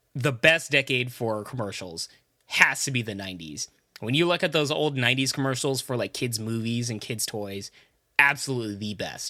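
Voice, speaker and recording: On a very clean recording with a silent background, a man's squeaky, bright, sharp voice moves fairly quickly with lively intonation and big swings in loudness. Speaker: podcast co-host. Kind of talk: casual chat.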